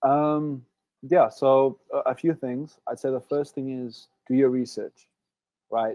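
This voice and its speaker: A man with an American accent speaks very slowly at a medium pitch, his tone dark and mellow. His intonation stays fairly even, and the sound is dry and close with no echo. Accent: South African with slight Southern US twang. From South Africa. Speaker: Olympic swimmer, college athlete. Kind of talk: webinar interview. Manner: hesitant, many fillers.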